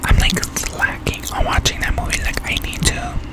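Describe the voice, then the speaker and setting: A woman whispers at a very slow pace. There is noticeable background noise. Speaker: ASMR gaming content creator. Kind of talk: casual talk to camera. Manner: soft-spoken, whispered.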